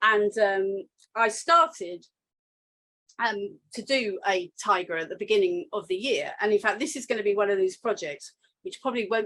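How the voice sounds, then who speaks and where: A woman with a London accent speaks at a moderate pace, her medium pitch carried by lively intonation. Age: 60s. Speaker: fibre artist. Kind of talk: casual interview chat. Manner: hesitant, many fillers.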